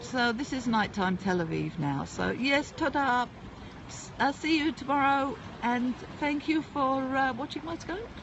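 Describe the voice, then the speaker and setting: Over noticeable background noise, someone with a British accent speaks at a fairly slow pace with lively intonation. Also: woman, high pitch for a woman. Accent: UK. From England (UK). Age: 60s. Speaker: livestreamer. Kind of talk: casual live-stream chat. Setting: outdoors at a seaside port.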